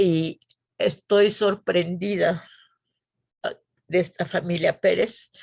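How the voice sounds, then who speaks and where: Speech comes at a very slow pace. Long pauses break it up frequently. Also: woman. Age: 80s+. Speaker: church member. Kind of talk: testimony.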